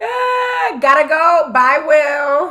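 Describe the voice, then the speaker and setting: The voice is a put-on character voice, high in pitch and husky. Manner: clipped, casual sign-off.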